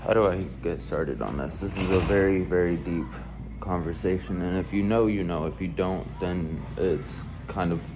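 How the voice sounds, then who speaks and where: A man with a Californian accent speaks at a moderate pace in a very deep, low voice. Music plays in the background, and room echo is audible. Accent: Californian American English. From US West Coast (Antioch, California). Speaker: gaming YouTuber. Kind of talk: casual monologue explainer. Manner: halting, with repetitions.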